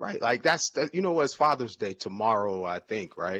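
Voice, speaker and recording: In an ordinary speaking voice, a man with an American accent talks at a fairly low pitch and a moderate pace. His intonation is lively, and the sound is dry and close with no echo. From New Jersey. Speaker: real estate investor and marketing agency owner. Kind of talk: casual interview chat.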